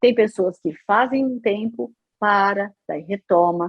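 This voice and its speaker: A normal speaking voice from a woman, medium in pitch, with ordinary pitch variation. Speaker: radio announcer and psychologist. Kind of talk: interview answer.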